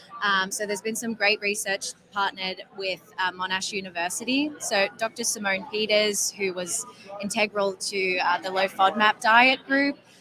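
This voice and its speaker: A woman talks at a moderate pace in an Australian accent, with medium pitch, ordinary pitch variation and hardly any pauses. Noticeable background noise runs underneath. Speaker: health app company representative. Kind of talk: interview. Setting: conference floor.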